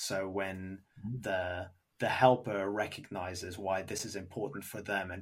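A man talks in a normal speaking voice at a fairly low pitch. His pace is fairly slow. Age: 30s. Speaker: podcast host. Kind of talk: casual chat; scripted narration.

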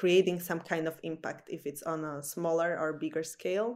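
A woman speaks in a fairly low pitch with fairly even intonation. The recording is very clean, with a silent background. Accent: Slovak. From Slovakia, small village in the middle. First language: Slovak. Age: 20s. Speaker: salesperson. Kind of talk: interview.

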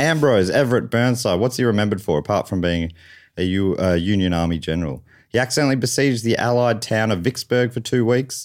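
The speaker has an Australian accent and lively intonation. The pace is very fast. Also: man, medium pitch for a man. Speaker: comedian and game show host. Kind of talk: comedy game show hosting. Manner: animated.

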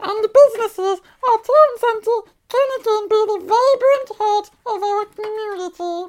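Someone performs a put-on character voice at an extremely high pitch. The pace is moderate.

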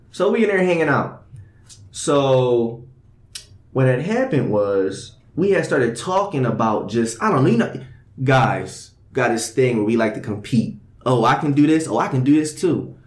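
A man speaks in an animated tone at a medium pitch and moderate pace, his intonation lively and his loudness very even, with audible room echo. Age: young. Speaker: podcast host. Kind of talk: casual chat.

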